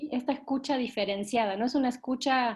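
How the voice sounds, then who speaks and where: A woman talks with fairly even intonation and a moderate pace. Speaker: workshop facilitator for a children's organization. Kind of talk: online workshop session. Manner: soft-spoken.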